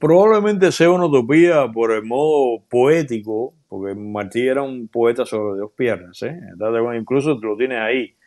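A man at a moderate pace, lively in intonation, over a quiet background. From Cuba, Matanzas; Cuba. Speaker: journalist and video creator; interview guest. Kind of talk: interview. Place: home room. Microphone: earbuds.

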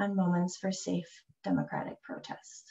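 Against a quiet background, a woman speaks at a moderate pace in a somewhat breathy voice. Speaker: landscape architect; presenter. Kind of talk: presentation. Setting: video call. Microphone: video call.

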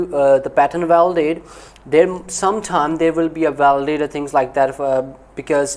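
Speaking at a moderate pace, a man has a fairly high pitch and fairly even intonation. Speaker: knife company owner reacting to documentary. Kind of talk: video reaction commentary. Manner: halting, many fillers. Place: home room. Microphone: lapel.

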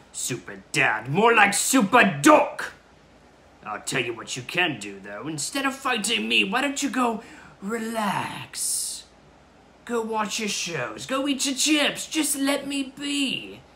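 A man's raised, projected voice at high pitch, with lively intonation and a fairly slow pace. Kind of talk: comic overacting. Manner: gloating, taunting, theatrical.

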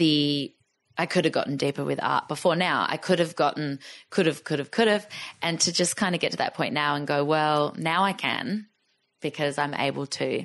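A woman with an Australian accent speaks at a moderate pace in a very deep, low voice with vocal fry and ordinary pitch variation. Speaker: artist and musician. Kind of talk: podcast interview answer. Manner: casual. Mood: warm, reflective. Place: home room. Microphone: studio mic.

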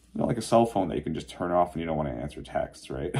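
The voice carries a dark, mellow tone with vocal fry and lively intonation. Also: man. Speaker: vlogger. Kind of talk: casual vlog chat. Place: home room. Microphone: phone near.

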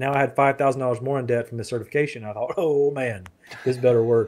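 A man with a Southern US accent talks at a very fast pace, his intonation fairly even. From US South (Florida, south Alabama). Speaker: marketing copywriter; podcast guest. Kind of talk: interview. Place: home room. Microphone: studio mic.

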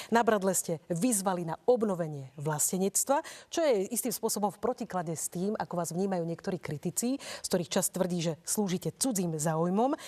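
With hardly any pauses, a woman speaks at a moderate pace in a dark, mellow tone, her intonation lively and her loudness swinging widely over a quiet background. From Slovakia. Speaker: radio and TV debate moderator; radio, TV debate moderator. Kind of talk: moderated debate. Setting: studio. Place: studio. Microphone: lapel.

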